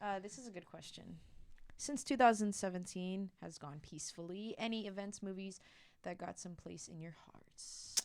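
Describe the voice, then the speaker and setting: In an American accent, a normal speaking voice shows ordinary pitch variation and big swings in loudness. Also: woman, medium pitch for a woman, moderate pace. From California. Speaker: host's girlfriend, student. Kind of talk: casual chat.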